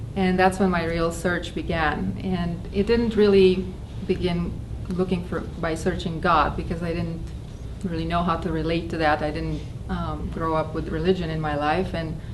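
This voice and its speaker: Speech comes at a moderate pace amid noticeable background noise and audible room echo. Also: woman. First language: not English. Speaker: spiritual talk speaker. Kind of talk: personal testimony talk. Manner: halting, with fillers.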